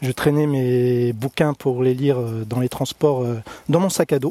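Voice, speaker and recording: A man speaks at a fairly high pitch and a fairly slow pace, his tone dark and mellow. The sound is dry and close with no echo, and his intonation is fairly even. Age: 40s. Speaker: listener answering a reader questionnaire, railway employee. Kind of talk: recorded questionnaire answers.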